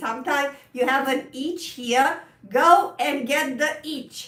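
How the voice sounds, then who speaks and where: Through noticeable background noise and audible room echo, a woman with a Romanian accent speaks at a very slow pace in a high pitch. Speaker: piano teacher. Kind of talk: live stream chat. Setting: live stream. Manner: halting.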